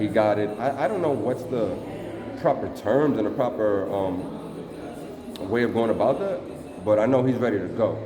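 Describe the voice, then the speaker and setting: With a New York accent, a man speaks at a moderate pace and a medium pitch, his intonation lively. Noticeable background noise and audible room echo fill the recording. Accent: New York City. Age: 20s. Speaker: studio manager. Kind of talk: guided tour. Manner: hesitant, many fillers.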